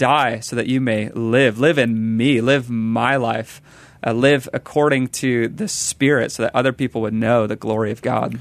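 Fairly even intonation and a moderate pace from a man, in an ordinary speaking voice at medium pitch. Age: 20s. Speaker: evangelism director and ministry co-founder. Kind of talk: interview. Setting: radio studio.

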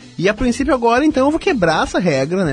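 A man speaks very fast with very wide pitch swings while noticeable background noise carries on. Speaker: radio host. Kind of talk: casual radio presenting.

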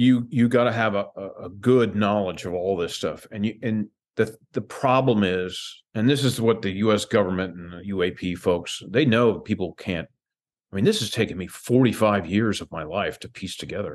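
With an American accent, a man talks at a moderate pace in an ordinary speaking voice, his fairly low pitch showing ordinary variation while his loudness swings widely. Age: 60s. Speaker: UFO disclosure advocate. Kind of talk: casual interview chat.

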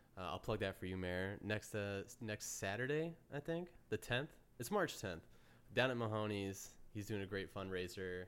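A man's normal speaking voice at fairly low pitch. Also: lively intonation, moderate pace. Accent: American. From upstate New York, near Amsterdam. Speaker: podcast host. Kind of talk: casual chat.

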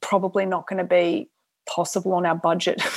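The recording is very clean with a silent background as a woman talks in an Australian accent. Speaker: film director. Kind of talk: interview.

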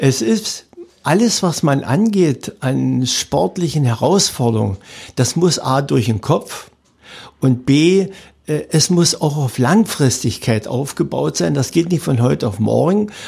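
This man's fairly high voice has a dark, mellow tone and is somewhat breathy. He talks very slowly, with very wide pitch swings. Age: 70s. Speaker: retired athlete and sports event organizer. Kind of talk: interview.

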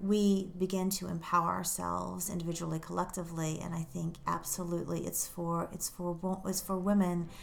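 Hardly pausing, a woman with an American accent speaks at a moderate pace in a fairly low pitch with monotone, flat intonation. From England, later US. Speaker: life coach and author. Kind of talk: interview.

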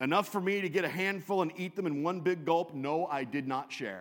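A man with an American accent, a normal speaking voice, a fairly high pitch, a moderate pace and lively intonation, on a very clean recording with a silent background. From US Pacific Northwest (Western Washington). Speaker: pastor. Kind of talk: sermon.

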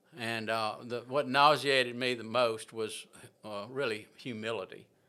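On a very clean recording with a silent background, a man with a Southern US accent talks at a fairly slow pace in a bright, sharp tone, at a medium pitch with monotone, flat intonation. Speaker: farmer and prison ministry volunteer. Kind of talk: testimony. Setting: in-person conversation. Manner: halting.

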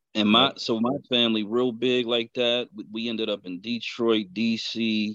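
A man's medium-pitched voice with an American accent and monotone, flat intonation. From western Pennsylvania, Pittsburgh area. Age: 40s. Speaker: truck driver and author. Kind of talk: casual political discussion.

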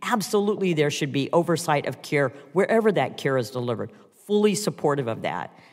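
A man with a plain, everyday voice, fairly high in pitch, lively in intonation and fairly quick in pace, on a very clean recording with a silent background. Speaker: congresswoman and physician. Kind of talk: congressional hearing questioning.

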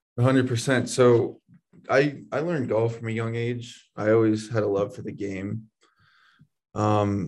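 This man speaks in a normal speaking voice, fairly low in pitch, at a fairly slow pace. His intonation stays fairly even over a quiet background. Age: young. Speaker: college baseball pitcher. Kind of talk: interview.

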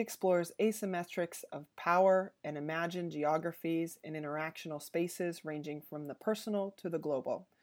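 A woman with an unremarkable speaking voice talks at a fairly quick pace, her pitch fairly low. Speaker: podcast host. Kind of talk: scripted introduction.

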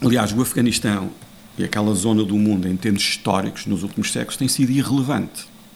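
A man with a European Portuguese accent talks at a very fast pace with fairly even intonation and a fairly low pitch. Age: 50s. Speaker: international affairs analyst. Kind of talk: interview.

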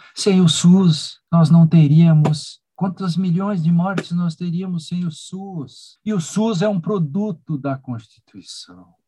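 Pitched high for a man, his voice has a dark, mellow tone and moves at a very slow pace. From Rio Grande do Sul, Brazil. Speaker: law professor. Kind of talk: interview. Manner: animated.

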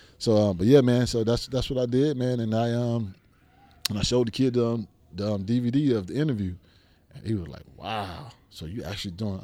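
A man with a medium pitch talks at a fairly quick pace, with ordinary pitch variation and big swings in loudness. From Miami, Liberty City, Florida. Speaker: football coach, former NFL player. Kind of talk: casual interview. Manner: animated.

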